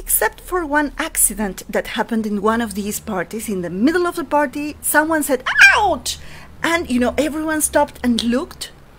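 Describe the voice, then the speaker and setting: A woman with a Spanish accent speaks at a moderate pace and high pitch, her pitch swinging very widely over noticeable background noise. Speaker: storyteller. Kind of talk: storytelling for children. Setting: at home, online session. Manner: animated.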